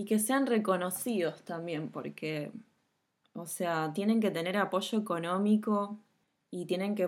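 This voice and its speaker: A woman speaks fairly slowly in a Rioplatense accent, her pitch medium with ordinary variation. The recording is very clean, with a silent background. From Argentina, Buenos Aires conurbano. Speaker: podcast host. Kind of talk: casual interview. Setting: home recording.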